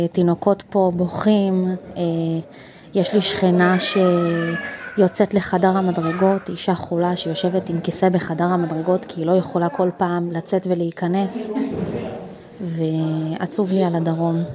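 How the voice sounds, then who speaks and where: A woman's medium pitch with monotone, flat intonation at a fairly slow pace, amid noticeable background noise. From Israel, Ashkelon. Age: 20s. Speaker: university student. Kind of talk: self-recorded testimony. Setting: self-recorded at home.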